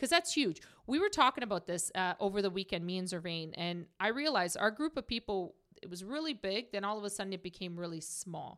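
In an ordinary speaking voice, a woman talks at a fairly quick pace with lively intonation on a very clean recording with a silent background. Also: medium pitch for a woman. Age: 30s. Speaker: mortgage business owner. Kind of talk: casual chat.

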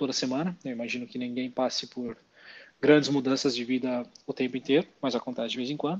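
The pace here is fairly quick. It is a normal speaking voice, with fairly even intonation. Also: man. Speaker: finance podcast co-host. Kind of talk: casual explanatory chat.

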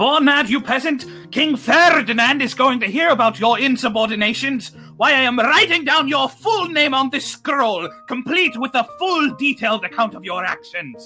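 Clear music plays behind a shrill, high-pitched put-on character voice moving at a moderate pace. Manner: angry.

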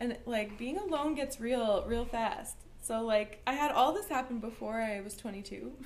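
A woman with a Canadian accent at a fairly slow pace, with audible room echo and noticeable background noise. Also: fairly high pitch for a woman, ordinary pitch variation. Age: 30s. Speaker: artist. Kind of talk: casual chat.

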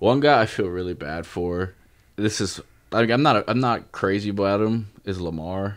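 A man with an unremarkable speaking voice, fairly low pitch and ordinary pitch variation talks at a moderate pace over a quiet background. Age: 20s. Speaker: sports card podcast co-host. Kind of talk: casual chat.

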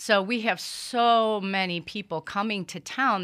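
A woman speaks with an American accent in an unremarkable speaking voice. Her pitch is medium, with ordinary variation. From US Midwest, Cleveland, Ohio. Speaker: small business owner and community board member. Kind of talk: interview. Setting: studio.

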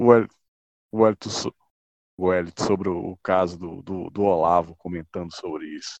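A man with a very deep, low pitch speaks at a fairly slow pace with fairly even intonation and long, frequent pauses. His loudness swings widely, and the sound is dry and close with no echo. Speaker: podcast co-host. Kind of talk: casual chat. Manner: formal.

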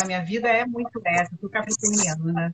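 A woman at a fairly slow pace. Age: 40s. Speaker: nutritionist. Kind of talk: casual chat.

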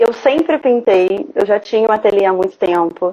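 Ordinary pitch variation in a fairly high female voice. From Rio de Janeiro, Brazil. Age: 30s. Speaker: visual artist. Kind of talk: interview, casual. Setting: live online broadcast.

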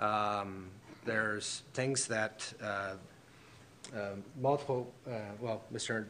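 A man at a medium pitch with fairly even intonation. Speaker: property developer. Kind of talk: presentation to council. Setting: council chambers with slides.

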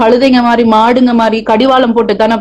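The speaker is a woman with a high pitch. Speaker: rapper. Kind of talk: casual interview. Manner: deliberately decent, less local speech.

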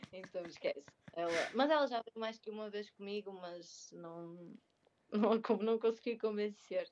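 A woman with an unremarkable speaking voice talks at a fairly slow pace and medium pitch. Her pitch variation is ordinary, with big swings in loudness. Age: 20s. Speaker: speech therapist and crossfit athlete. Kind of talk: casual interview.

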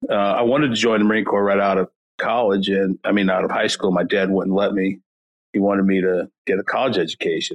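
Very fast and fairly low in pitch, a man delivers his words. His loudness stays very even. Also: fairly even intonation. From US Midwest, North County St. Louis, Missouri. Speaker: retired Marine veteran. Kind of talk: interview conversation.

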